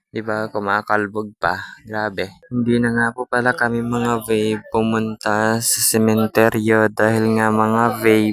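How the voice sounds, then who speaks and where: Over music in the background, a man speaks at a fairly slow pace with hardly any pauses. His medium-pitched voice stays monotone and flat. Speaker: vlogger. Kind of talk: vlog voice-over. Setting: at home, in bedroom.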